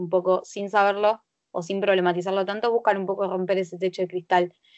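This is a woman at a medium pitch and a moderate pace, with an unremarkable speaking voice. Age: 20s. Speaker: sports club board member. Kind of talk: casual chat. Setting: video call.

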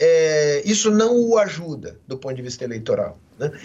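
A man's high-pitched voice with very wide pitch swings, set against noticeable background noise. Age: 60s. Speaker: political scientist. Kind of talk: interview. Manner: halting, many fillers.

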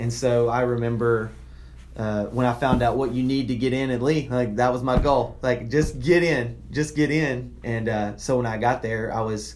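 A man with a Southern US accent, medium in pitch, fairly even in intonation, at a moderate pace

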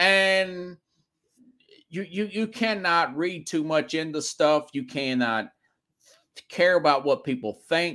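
On a very clean recording with a silent background, a man with a Southern US accent speaks at a very slow pace with long, frequent pauses, his high pitch showing ordinary variation and a bright, sharp tone. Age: 40s. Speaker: sports talk show host. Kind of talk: solo sports talk show monologue.

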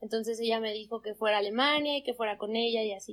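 A woman talks at a fairly quick pace in a fairly high pitch. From Mexico, Zamora, Michoacán. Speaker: podcast guest, traveler. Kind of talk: casual chat.

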